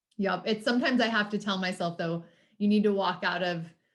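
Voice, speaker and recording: The intonation is monotone and flat, with an American accent. The recording is very clean, with a silent background. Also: woman. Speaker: podcast host. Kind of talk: casual interview chat.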